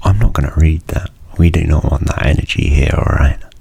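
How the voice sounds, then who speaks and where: A man speaks over noticeable background noise. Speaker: university student. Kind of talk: ASMR soft-spoken rambling. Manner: soft-spoken.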